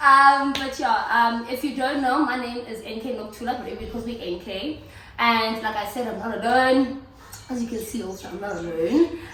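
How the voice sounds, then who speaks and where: An animated, high-pitched woman's voice at a moderate pace, with ordinary pitch variation, big swings in loudness, audible room echo, and noticeable background noise. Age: late 20s to early 30s. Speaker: YouTube host. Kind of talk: casual chat. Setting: at home.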